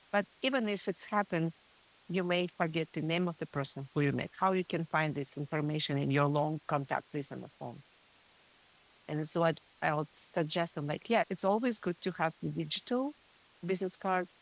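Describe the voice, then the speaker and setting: A woman with a Russian accent speaks at a moderate pace in a fairly low pitch, with ordinary pitch variation and a dry, close sound with no echo. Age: middle-aged. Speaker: print shop co-owner. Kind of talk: podcast interview.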